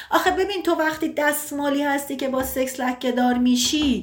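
The speech moves at a moderate pace. There is audible echo from the room. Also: woman. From Iran, Tabriz. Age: 30s. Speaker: sociologist. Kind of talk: casual chat.

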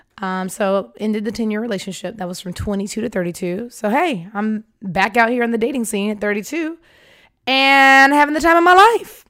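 An American-accented woman talks at a fairly quick pace and a fairly high pitch, with a bright, sharp tone, lively intonation and an animated manner. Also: very clean recording, silent background. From US South, Atlanta, Georgia. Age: 30s. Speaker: podcast host, marketing executive. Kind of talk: casual storytelling monologue. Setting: studio microphone.

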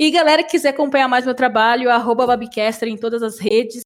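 A high-pitched woman is speaking. Her pitch varies in an ordinary way. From Brazil, São Paulo state. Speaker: esports caster. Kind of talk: casual chat.

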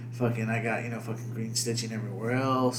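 A man with a medium-pitched voice talks in a flat monotone over noticeable background noise. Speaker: podcast host. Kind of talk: casual banter, profane. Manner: profane, rambling, filler-heavy.

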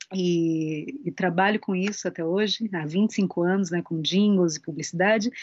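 A woman speaks at a fairly slow pace in a plain, everyday voice of medium pitch, with hardly any pauses. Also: ordinary pitch variation. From interior of São Paulo state, Brazil. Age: 40s. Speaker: singer and voice actress. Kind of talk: casual interview chat.

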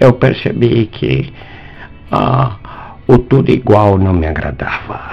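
Music plays behind a man talking at a very slow pace. His pitch swings very widely. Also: fairly low pitch for a man. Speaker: philosophy and math teacher. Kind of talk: interview.

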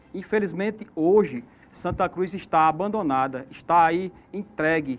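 At a fairly slow pace, a man speaks at a high pitch with ordinary pitch variation. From Sertão da Paraíba, northeast Brazil. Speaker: mayoral candidate. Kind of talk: political debate. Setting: radio/online studio.

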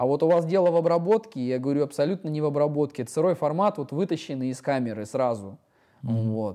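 With a dark, mellow tone and a fairly high pitch, a man talks very fast with lively intonation against a quiet background. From Siberia, Russia (Iskitim near Novosibirsk). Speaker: photographer. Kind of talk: casual interview. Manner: hesitant, many fillers.

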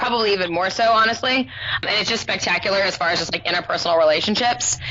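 Spoken at a very fast pace with an American accent, this clip carries noticeable background noise. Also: woman. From southern California. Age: 30s. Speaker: online high school English teacher. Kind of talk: casual interview chat.

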